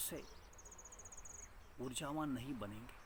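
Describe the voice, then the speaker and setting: A man's fairly high voice amid audible room echo. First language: Marathi (speaking Hindi). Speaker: meditation teacher. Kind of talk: spiritual talk. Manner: halting.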